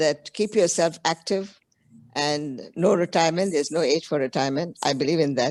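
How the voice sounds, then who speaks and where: A woman with a very deep, low voice speaks at a moderate pace with ordinary pitch variation and very even loudness, the sound dry and close with no echo. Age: 70s. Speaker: audience member asking a question. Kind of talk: casual chat. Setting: video call.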